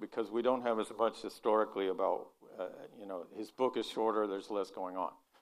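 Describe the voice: Reading aloud, plain and simple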